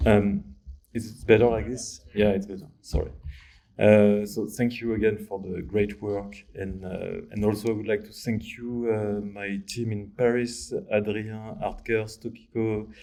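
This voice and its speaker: A man with a French accent speaks at a fairly slow pace, fairly low in pitch with a dark, mellow tone and monotone, flat intonation, his loudness swinging widely, with audible room echo. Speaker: architectural visualization artist. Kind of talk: lecture. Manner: halting.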